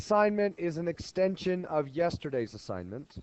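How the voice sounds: A man puts on a character voice, hoarse and high-pitched. He moves at a moderate pace with lively intonation.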